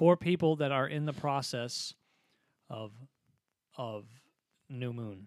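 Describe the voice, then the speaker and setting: Speaking at a very slow pace with long, frequent pauses, a man with a fairly high pitch shows ordinary pitch variation and big swings in loudness. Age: 20s. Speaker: podcast co-host and guitar teacher. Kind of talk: casual chat. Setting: home studio.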